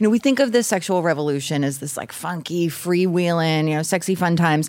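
Her intonation is lively and her pitch fairly low. This woman talks at a fairly quick pace. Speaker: podcast host. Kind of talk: casual chat. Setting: stage with audience. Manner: nervous.

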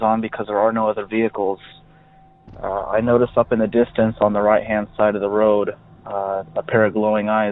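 Noticeable background noise accompanies a man who speaks at a moderate pace. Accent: American. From US West Coast. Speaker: caller. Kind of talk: telling a story. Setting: phone call.

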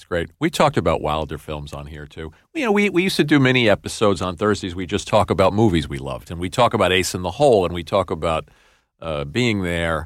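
A man's very deep, low voice in a New York accent, very fast, with lively intonation and big swings in loudness, on a very clean recording with a silent background. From New York City. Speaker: podcast co-host. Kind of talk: interview.

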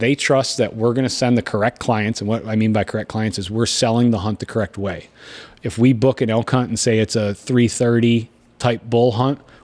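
Recorded very cleanly against a silent background, a man speaks at a medium pitch with an Upper Midwest accent. His delivery is fairly quick, with monotone, flat intonation. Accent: Upper Midwest American. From western Michigan. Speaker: hunting outfitter and TV host. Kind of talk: casual interview. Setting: in person at his home by Lake Michigan.

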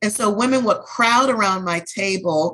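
Her tone is bright and sharp, in an American accent at a medium pitch for a woman. She speaks at a fairly slow pace with ordinary pitch variation. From US South, New Orleans. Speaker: beauty brand founder. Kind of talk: interview.

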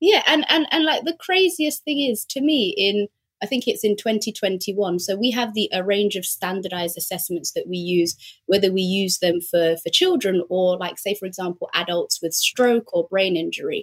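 A woman's somewhat breathy voice at medium pitch moves at a moderate pace with lively intonation, the sound dry and close with no echo. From South London. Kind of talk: interview.

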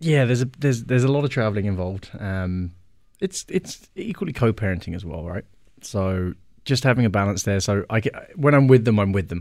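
With lively intonation and a normal speaking voice, a man talks at a fairly quick pace and fairly low pitch. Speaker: gin brand ambassador, single dad. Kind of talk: casual chat. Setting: studio. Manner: playful, joking.

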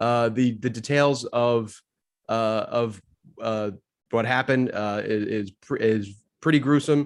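A man with a plain, everyday voice speaks fairly slowly at a medium pitch with fairly even intonation. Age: 30s. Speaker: baseball researcher. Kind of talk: casual chat.

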